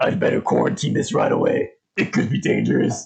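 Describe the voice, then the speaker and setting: A man uses a raspy, put-on character voice. He talks at a fairly quick pace. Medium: read story. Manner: grave, deliberate.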